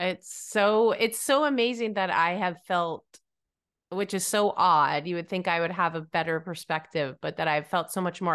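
Over a quiet background, a woman with an American accent talks at a fairly slow pace. Her pitch is fairly low, with ordinary variation. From New England, US. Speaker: podcast host and songwriting coach. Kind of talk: casual interview chat. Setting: video call. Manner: animated.

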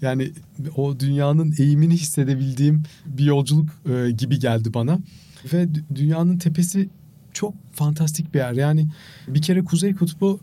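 Somewhat breathy and dark, mellow in tone, a man speaks at a fairly high pitch and moderate pace with fairly even intonation. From Turkey. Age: 50s. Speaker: marathon runner and charity fundraiser. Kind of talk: interview.

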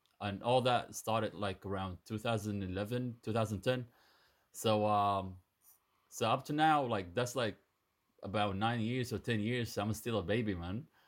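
A man with a Sudanese accent speaks at a fairly low pitch and a moderate pace, with fairly even intonation. The recording is very clean, with a silent background. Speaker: dancer and dance teacher. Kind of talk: interview conversation.

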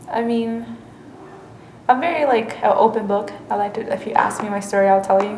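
Speaking at a fairly quick pace, a woman with a Spanish accent keeps a medium pitch and fairly even intonation. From Mexico. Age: 20s. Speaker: college student interviewee. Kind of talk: interview. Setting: campus library.

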